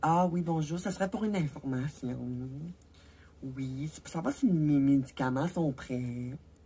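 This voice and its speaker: This put-on character voice is nasal and sits at a middle pitch. It moves at a moderate pace with long, frequent pauses. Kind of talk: polite telephone tone. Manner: polite.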